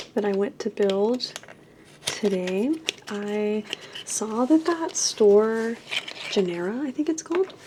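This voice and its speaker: Over noticeable background noise, a woman speaks at a fairly high pitch with lively intonation. Her pace is very slow, broken by long, frequent pauses. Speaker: artist vlogger. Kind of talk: casual vlog narration.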